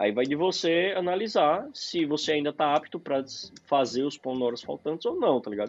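Against a quiet background, a man talks at a fairly quick pace with lively intonation and a fairly high pitch, in an ordinary speaking voice. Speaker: podcast co-host, software developer. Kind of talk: casual chat.

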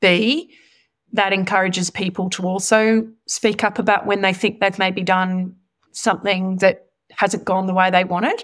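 A medium-pitched woman's voice in an Australian accent, monotone and flat in intonation, in a very clean recording with a silent background. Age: 40s. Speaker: senior executive. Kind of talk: interview.

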